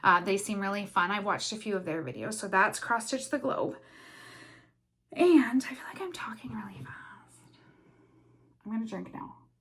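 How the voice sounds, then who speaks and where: Animated in tone, a woman with a medium pitch and vocal fry makes very wide pitch swings and takes long, frequent pauses. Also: moderate pace, big swings in loudness. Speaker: cross stitch vlogger. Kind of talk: casual vlog chat.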